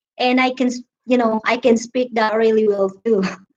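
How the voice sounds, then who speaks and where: A woman speaks with a Filipino accent. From Philippines, Visayas. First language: Visayan. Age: 30s. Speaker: live streamer. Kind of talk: casual chat. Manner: halting.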